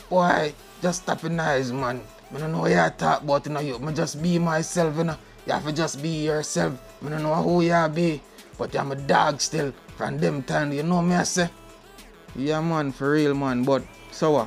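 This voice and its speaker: A voice with fairly even intonation at a moderate pace. Music plays in the background. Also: man, fairly high pitch for a man. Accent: Jamaican. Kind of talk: casual podcast talk. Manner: relaxed, laid-back.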